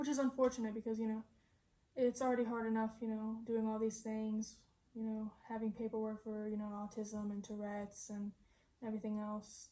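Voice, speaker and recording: A woman with a fairly high pitch speaks in a monotone, flat intonation against noticeable background noise. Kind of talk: casual chat. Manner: halting.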